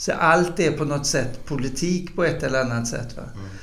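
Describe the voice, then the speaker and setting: Noticeable background noise and audible room echo accompany a man with a fairly high pitch, speaking at a moderate pace with fairly even intonation. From northern Bohuslän, western Sweden. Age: 60s. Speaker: football club chairman and politician. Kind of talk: casual chat.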